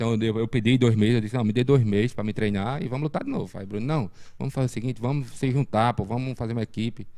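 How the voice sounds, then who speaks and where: This man has a dark, mellow tone at a medium pitch. He speaks at a very fast pace. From Brazil, Pernambuco sertão (Sertânia area). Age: 40s. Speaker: martial arts instructor. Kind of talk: casual interview. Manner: halting, many fillers and repetitions.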